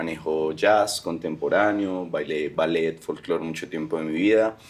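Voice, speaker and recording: This man has a very deep, low pitch. He talks at a fairly slow pace with fairly even intonation. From Colombia, Medellín. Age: 20s. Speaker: dancer and dance teacher. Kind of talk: casual interview chat.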